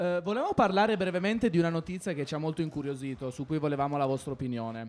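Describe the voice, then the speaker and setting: Talking at a very fast pace, a man with a fairly high pitch sounds animated, his intonation lively. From Argentina. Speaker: radio host for children's sports show. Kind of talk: casual radio chat with children.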